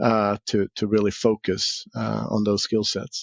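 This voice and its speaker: A man with a slight Swedish accent and a fairly low pitch is heard in a dry, close sound with no echo. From Sweden. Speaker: cybersecurity executive and military veteran. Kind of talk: podcast interview.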